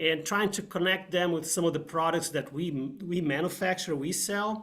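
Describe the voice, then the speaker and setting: With ordinary pitch variation, a man speaks in a high voice. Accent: slight Brazilian. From Brazil, São Paulo. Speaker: engineer. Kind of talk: technical presentation. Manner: halting, many fillers.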